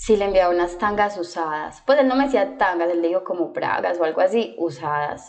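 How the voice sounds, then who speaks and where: A woman's plain, everyday voice, fairly low in pitch, with lively intonation, a fairly quick pace and hardly any pauses. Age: 20s. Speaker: doctor. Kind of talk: casual chat.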